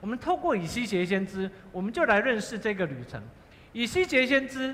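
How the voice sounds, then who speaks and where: In a raised, projected voice, a man talks fairly quickly at a high pitch, his pitch swinging very widely. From Taiwan, Fengyuan (Taichung). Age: 50s. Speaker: pastor. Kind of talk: sermon. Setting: church.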